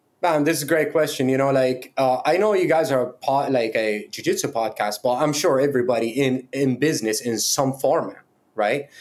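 With a Middle Eastern accent, a man speaks at a moderate pace at a fairly high pitch, with ordinary pitch variation and very even loudness. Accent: Middle Eastern-accented Canadian English. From Middle East, moved to Canada. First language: not English (Middle Eastern language). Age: 30s. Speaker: fightwear brand founder; podcast guest. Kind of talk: casual chat. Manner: animated. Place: home room.

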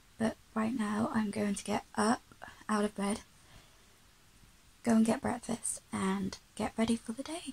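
Noticeable background noise sits behind the speech. The delivery is fairly slow, with fairly even intonation. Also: woman, fairly high pitch for a woman. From Birmingham, UK. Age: young. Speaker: vlogger. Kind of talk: casual talk to camera. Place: home room. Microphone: phone near.

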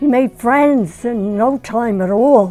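A woman speaks in a high voice with lively intonation while faint music plays in the background. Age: 80s+. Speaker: retired community volunteer and mother. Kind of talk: interview answer. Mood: warm, fond, animated. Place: home room.

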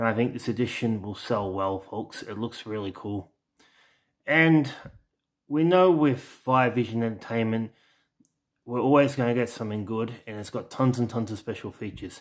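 This man speaks with an Australian accent at a moderate pace, with ordinary pitch variation. The recording is very clean, with a silent background. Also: medium pitch for a man. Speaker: home video collector and YouTuber. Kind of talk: casual product showcase video. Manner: halting, with many fillers.

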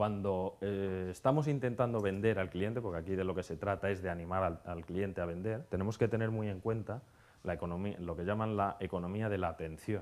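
On a very clean recording with a silent background, a man with an unremarkable speaking voice talks at a fairly low pitch and a fairly quick pace, with ordinary pitch variation and hardly any pauses. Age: 30s. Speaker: conference speaker on hotel marketing. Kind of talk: conference talk.

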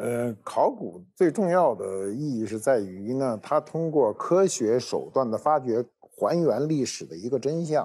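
A man speaks at a fairly slow pace in a dark, mellow tone. His pitch swings very widely. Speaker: guest expert on archaeology. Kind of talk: casual chat. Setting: studio. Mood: calm, explanatory. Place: studio. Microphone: lapel.

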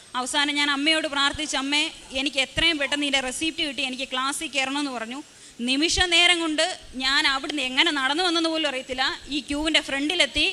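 Against noticeable background noise, a woman speaks in a raised, projected voice. Her pitch is high and her intonation monotone and flat. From Kerala, Kottayam. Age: 20s. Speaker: testimony giver at a church. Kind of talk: testimony.

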